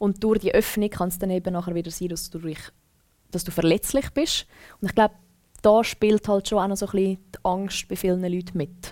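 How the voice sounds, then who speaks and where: A woman's unremarkable speaking voice, medium in pitch, fairly quick, with fairly even intonation. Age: 20s. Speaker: former radio presenter. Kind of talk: casual chat.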